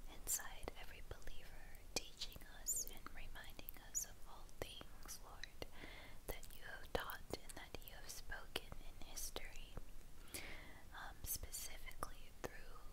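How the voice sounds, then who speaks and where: Someone whispers at a fairly slow pace. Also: woman. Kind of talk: prayer. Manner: whispered, soft-spoken. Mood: earnest, reverent prayer. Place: home room.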